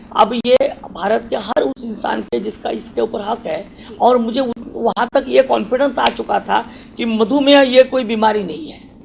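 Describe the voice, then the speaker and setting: A man speaks at an extremely high pitch with ordinary pitch variation, his loudness swinging widely over noticeable background noise. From Maharashtra, India. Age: 40s. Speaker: doctor. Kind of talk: interview. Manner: halting, with fillers.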